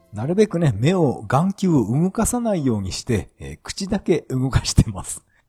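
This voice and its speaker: With music in the background and a dry, close sound with no echo, a man with a fairly high pitch talks at a moderate pace with hardly any pauses, very wide pitch swings and big swings in loudness. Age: 40s. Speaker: podcaster. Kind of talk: casual monologue.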